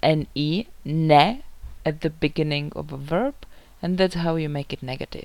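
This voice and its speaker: A woman speaks at a fairly slow pace with a Czech accent. Her pitch is very deep and low, with ordinary variation. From Czech Republic. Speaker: language teacher. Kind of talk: tutorial.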